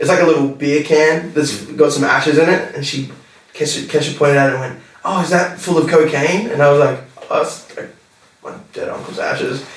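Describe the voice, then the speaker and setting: Against noticeable background noise and audible room echo, a man with an Australian accent and a fairly high pitch talks at a fairly quick pace with big swings in loudness. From Australia, Newcastle NSW. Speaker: rapper. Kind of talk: casual interview chat. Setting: podcast recording. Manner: animated, many fillers. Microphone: poor audio quality.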